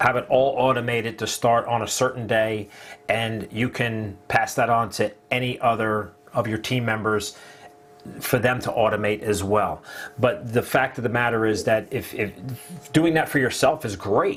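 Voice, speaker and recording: With a New Jersey accent, a man speaks at a medium pitch and moderate pace with fairly even intonation over noticeable background noise. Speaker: online marketing affiliate. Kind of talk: casual live stream chat. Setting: live video stream.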